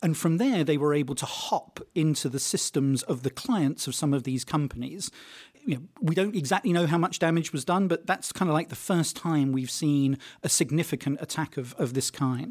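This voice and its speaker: On a very clean recording with a silent background, the pitch varies in an ordinary way. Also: man, fairly high pitch for a man, moderate pace. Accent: British. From Britain. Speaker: tech journalist. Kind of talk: interview. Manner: hesitant, many fillers.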